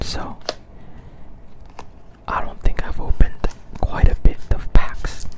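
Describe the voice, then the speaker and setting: Against noticeable background noise, a whispering voice keeps a relaxed tone. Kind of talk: ASMR whispered talk while organizing trading cards. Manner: soft-spoken, relaxed.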